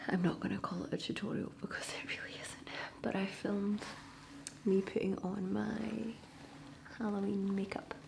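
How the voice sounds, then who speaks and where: Whispering, a woman talks at a moderate pace with long, frequent pauses. Noticeable background noise runs through the clip. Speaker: ASMR creator. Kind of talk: ASMR soft-spoken talk to camera. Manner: soft-spoken.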